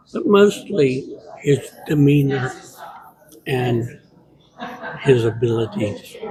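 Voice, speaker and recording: Amid noticeable background noise, a man with an American accent and a fairly high pitch talks at a very slow pace, leaving long, frequent pauses. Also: lively intonation. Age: 60s. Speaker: former music student. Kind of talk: interview testimonial.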